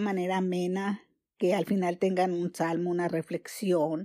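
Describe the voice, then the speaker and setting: A woman is speaking. Her tone is dark and mellow. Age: 70s. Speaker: former schoolteacher and holistic therapist. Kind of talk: testimony.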